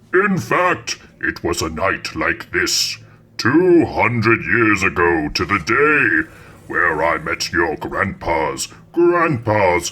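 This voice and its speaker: In a put-on character voice, a man talks at a very slow pace and medium pitch, his pitch swinging very widely. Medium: audio drama. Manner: theatrical, menacing.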